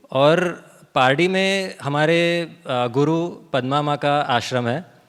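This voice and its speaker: Fairly high pitch and ordinary pitch variation in a man's voice. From Pardi, Gujarat, India. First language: Gujarati (speaking Hindi). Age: young. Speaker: author and organic farmer. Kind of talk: seminar talk. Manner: code-switching Hindi and English, some fillers.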